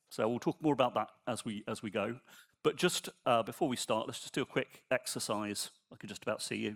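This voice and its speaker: The voice moves at a fairly quick pace with ordinary pitch variation and big swings in loudness. It's a very clean recording with a silent background, dry and close with no echo. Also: man, medium pitch for a man. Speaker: software engineer and conference speaker. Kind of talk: conference talk. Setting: stage with audience. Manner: soft-spoken.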